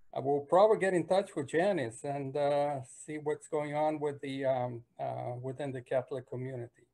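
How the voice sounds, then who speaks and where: A man's fairly high voice, dark and mellow in tone, at a moderate pace with hardly any pauses and ordinary pitch variation. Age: 60s. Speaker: church member at faith group meeting. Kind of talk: self-introduction in online meeting. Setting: video call. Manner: halting, many fillers.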